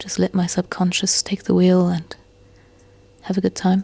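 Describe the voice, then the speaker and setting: A woman's somewhat breathy voice of medium pitch and dark, mellow tone at a moderate pace, dry and close with no echo. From South Africa, Cape Town. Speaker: painter. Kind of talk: voiceover narration. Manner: reflective.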